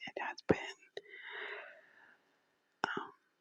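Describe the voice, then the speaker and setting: Someone whispers at a fairly slow pace. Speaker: ASMR creator. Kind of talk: casual talk to camera. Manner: whispered.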